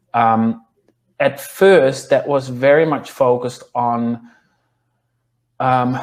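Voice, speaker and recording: With a Dutch accent, a man speaks at a medium pitch and a very slow pace, leaving long, frequent pauses. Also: fairly even intonation. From Netherlands. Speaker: clinical nutritionist and yoga teacher. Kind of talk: interview. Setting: podcast. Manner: halting, many fillers.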